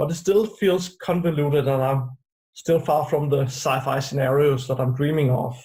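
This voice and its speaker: With a dark, mellow tone and a somewhat breathy quality, a man speaks at a fairly high pitch and a moderate pace, with ordinary pitch variation and very even loudness. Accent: Danish. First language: Danish. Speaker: UX designer. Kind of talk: interview.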